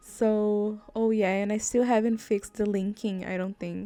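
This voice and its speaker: Music in the background behind a woman speaking at a moderate pace with ordinary pitch variation. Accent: non-native. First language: not English. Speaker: gaming YouTuber. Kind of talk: casual gameplay commentary. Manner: chatty, rambling with fillers.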